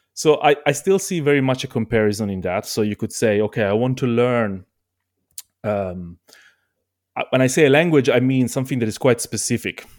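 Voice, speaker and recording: A man with an Italian accent talks at a fairly quick pace. His pitch is medium and his intonation lively. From Italy. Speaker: multi-instrumentalist musician. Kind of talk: casual interview chat. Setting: remote call.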